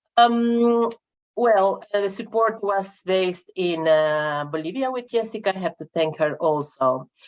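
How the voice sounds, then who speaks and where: Speaking fairly slowly with a Spanish accent, a woman uses ordinary pitch variation. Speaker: regional network representative. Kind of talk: conference presentation. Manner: halting, many fillers.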